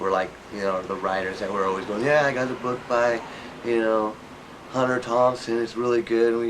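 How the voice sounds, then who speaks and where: There is noticeable background noise and audible room echo as a man speaks with fairly even intonation. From New York. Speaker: interviewee. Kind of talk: interview. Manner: halting.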